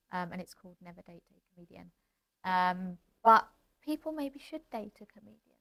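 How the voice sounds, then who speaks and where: A fairly quick pace in a British accent. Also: woman. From Britain. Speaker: comedian and podcast host. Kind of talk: casual chat.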